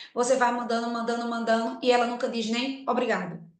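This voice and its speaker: A woman with a fairly high pitch talks at a fairly quick pace, with audible room echo. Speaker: business owner and mentor. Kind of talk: live webinar talk. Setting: online live stream. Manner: fast; energetic.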